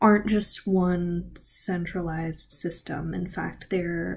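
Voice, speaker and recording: A woman's somewhat breathy voice, dark and mellow in tone with ordinary pitch variation, comes through over light background noise. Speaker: travel fellowship vlogger. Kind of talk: casual vlog chat. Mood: enthusiastic, animated. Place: home room. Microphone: webcam.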